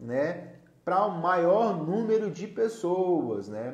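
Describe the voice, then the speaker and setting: In a room with audible echo, a man speaks at a high pitch with an animated tone and lively intonation. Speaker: live-stream host, therapist-style educator. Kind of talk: solo live stream talk. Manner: loud, gets louder as he warms up.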